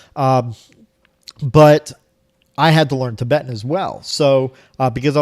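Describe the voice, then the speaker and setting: In a Florida accent, a man speaks at a moderate pace with fairly even intonation. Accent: American (Florida). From Florida, US (Cuban family). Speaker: language learner, video blogger. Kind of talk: casual vlog monologue. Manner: many fillers and repetitions.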